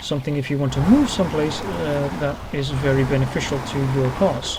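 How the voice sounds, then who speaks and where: Noticeable background noise sits under the voice. The talking goes at a fairly quick pace. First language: not English. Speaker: gaming video creator. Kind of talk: let's play tutorial commentary. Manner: halting, with fillers and self-corrections.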